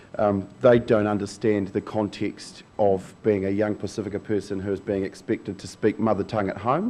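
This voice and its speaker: The man's tone is dark and mellow, with fairly low pitch. His intonation stays flat and monotone. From New Zealand, Pacific Islander community. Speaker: youth advisor. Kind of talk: panel talk. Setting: conference stage with microphone. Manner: fast, with frequent ums.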